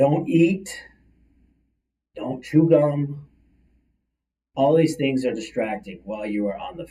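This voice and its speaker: A man's fairly high, somewhat breathy voice at a fairly slow pace, with lively intonation, big swings in loudness, and long, frequent pauses. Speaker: career coach. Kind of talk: livestream talk show monologue. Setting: live video stream.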